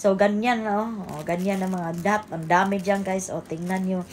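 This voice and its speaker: A woman's speech shows ordinary pitch variation and keeps to a moderate pace. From Cebu, Philippines. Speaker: vlogger. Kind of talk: casual vlog narration. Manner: loud; animated.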